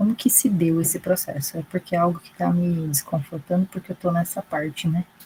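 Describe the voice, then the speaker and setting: A quiet woman's voice of fairly low pitch. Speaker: graduate student. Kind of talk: audience question.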